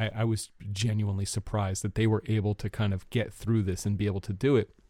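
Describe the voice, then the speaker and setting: A plain, everyday voice moves at a fairly quick pace in a very clean recording with a silent background. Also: man. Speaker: podcast host. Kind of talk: casual chat. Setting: home recording space, basement.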